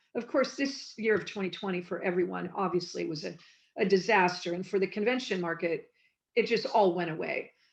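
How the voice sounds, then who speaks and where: Against a quiet background, a woman with an American accent and a plain, everyday voice speaks at a fairly quick pace and medium pitch with ordinary pitch variation. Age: 60s. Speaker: former TV production coordinator and convention guest. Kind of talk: interview.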